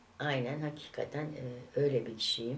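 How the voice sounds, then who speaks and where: A woman is speaking. Her pace is very slow. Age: 60s. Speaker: vlogger. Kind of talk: casual chat. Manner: animated; hesitant fillers. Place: home room. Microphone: camera far.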